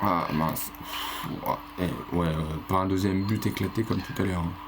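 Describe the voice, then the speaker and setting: The speaker is soft-spoken and goes at a fairly slow pace, with noticeable background noise and audible room echo. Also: man, very deep, low pitch for a man. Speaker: gaming YouTuber. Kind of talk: let's play commentary. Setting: home recording late at night. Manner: animated.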